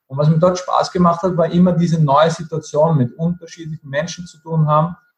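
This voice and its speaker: Monotone and flat, a man's fairly high voice moves at a fairly quick pace. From Austria, Vienna. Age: 30s. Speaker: network marketing entrepreneur, former chef. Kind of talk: interview. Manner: halting.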